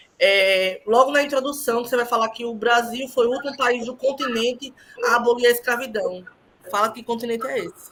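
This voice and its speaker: Over noticeable background noise, a woman talks at a fairly quick pace with big swings in loudness. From Northeast Brazil. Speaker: thesis examiner. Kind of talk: thesis defense feedback. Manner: halting.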